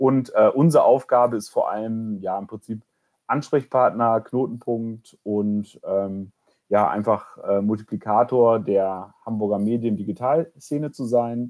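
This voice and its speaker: A man speaks at a fairly slow pace, his medium pitch rising and falling in an ordinary way. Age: 30s. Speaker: incubator program manager. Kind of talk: podcast interview. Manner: hesitant, many filler sounds.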